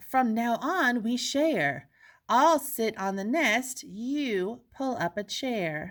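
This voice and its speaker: A woman speaks very slowly in a put-on character voice, high-pitched with very wide pitch swings, on a very clean recording with a silent background. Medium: read story.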